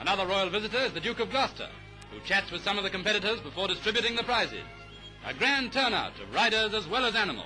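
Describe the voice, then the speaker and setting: Very rapid speech with ordinary pitch variation over background music. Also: man, high pitch for a man. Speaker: newsreel narrator. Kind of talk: newsreel commentary.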